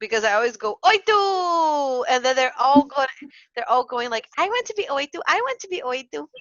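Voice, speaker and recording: In a Portuguese accent, a woman speaks at a high pitch with very wide pitch swings and big swings in loudness. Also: moderate pace. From Brazil. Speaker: early childhood educator and podcast co-host. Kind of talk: casual chat. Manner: halting.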